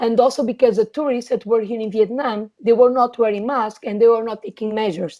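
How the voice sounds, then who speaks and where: With a Portuguese accent, a woman talks in a fairly high pitch with a dark, mellow tone and fairly even intonation. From Portugal. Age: 20s. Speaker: trade commissioner. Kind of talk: interview.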